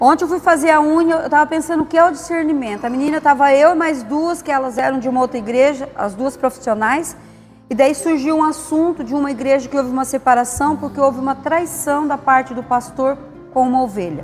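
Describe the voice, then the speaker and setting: Over background music, someone talks at a fairly quick pace. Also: woman, high pitch for a woman, ordinary pitch variation. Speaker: pastor's wife teaching a church class. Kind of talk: church class lesson. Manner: conversational storytelling.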